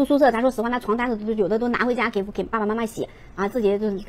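Fairly high in pitch, a woman speaks at a very fast pace with fairly even intonation. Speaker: livestream seller. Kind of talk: live-stream sales pitch. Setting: live-stream room. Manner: fast, loud, hard-sell pitchman patter with countdowns and repeated prices; urgent, rhythmic, shouting 'get on board' calls to 'old iron' buyers. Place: home room. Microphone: lapel.

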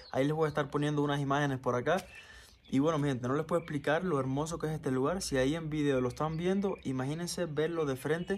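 At a very fast pace, a man with a fairly high pitch keeps very even loudness and fairly even intonation over light background noise. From Cuba. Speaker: vlogger. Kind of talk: casual vlog monologue. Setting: outdoors in backyard. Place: garden. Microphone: phone near.

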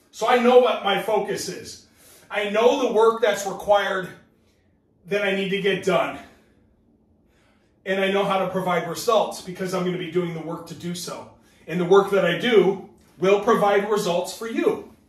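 Here a man speaks in a high pitch at a moderate pace, leaving long, frequent pauses. Room echo is audible. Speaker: business trainer. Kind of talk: training talk. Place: home room. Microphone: camera far.

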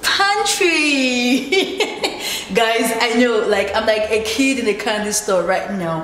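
A woman is heard with audible room echo and noticeable background noise. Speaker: homeowner vlogger. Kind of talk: casual vlog chat. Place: home room. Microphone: phone near.

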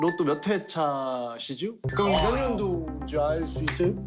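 A man is speaking. Music plays in the background. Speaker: actor. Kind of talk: casual variety show banter. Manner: excited, upbeat.

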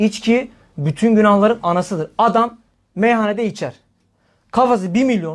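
Against a quiet background, a man with a high pitch talks at a moderate pace in an animated tone with ordinary pitch variation. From Turkey. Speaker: Islamic preacher. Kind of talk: religious talk. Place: home room.

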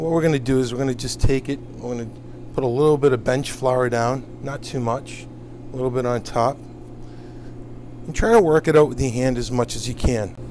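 A man's speech moves at a fairly quick pace with fairly even intonation, light noise present in the background. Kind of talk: tutorial. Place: kitchen.

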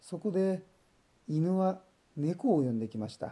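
Calm and gentle, a man talks in a dark, mellow tone with lively intonation. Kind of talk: bedtime story reading for children. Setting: voice only. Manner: calm, gentle.

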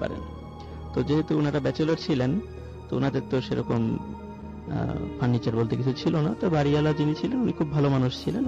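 A man speaks with lively intonation and very even loudness. The sound is dry with no echo, and music plays clearly in the background. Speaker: caller telling a ghost story. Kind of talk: live story telling to radio audience. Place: studio. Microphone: studio mic.

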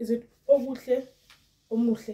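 A woman's fairly high voice with a dark, mellow tone against a quiet background. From South Africa. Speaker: YouTuber commenting on celebrity gossip. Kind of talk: casual vlog commentary. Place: home room.

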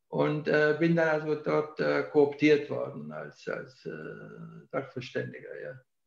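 This man speaks at a very slow pace with hardly any pauses, his loudness swinging widely. The background is quiet, though audible room echo surrounds him. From southern Germany (Ulm, Allgäu); southern Germany. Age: 70s. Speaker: historian; interviewee. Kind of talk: interview. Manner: halting. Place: office. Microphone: video call.

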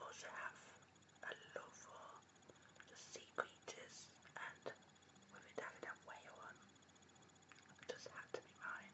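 Whispering at a very slow pace, a woman lets her loudness swing widely. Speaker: ASMR artist. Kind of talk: ASMR whisper video. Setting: home recording at night with basic microphone. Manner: whispered, soft-spoken. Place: home room. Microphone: webcam.

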